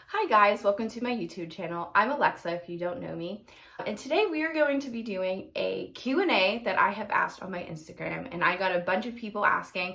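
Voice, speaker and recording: A woman with an American accent, medium pitch and a fairly quick pace, lively intonation and big swings in loudness, plus noticeable background noise. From Pennsylvania. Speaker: teacher, video blogger. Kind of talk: casual Q&A vlog. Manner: casual, many fillers.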